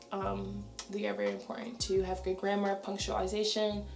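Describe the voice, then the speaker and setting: Music plays in the background as a woman speaks amid audible room echo. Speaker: teacher and vlogger. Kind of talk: casual vlog talk.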